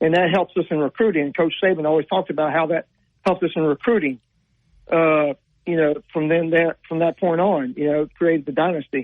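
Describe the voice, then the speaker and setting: Talking at a fairly quick pace, a man with a Southern US accent keeps his fairly high pitch fairly even. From Louisiana (Zachary, near Baton Rouge). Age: 50s. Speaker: caller. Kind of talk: call-in radio chat. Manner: fast.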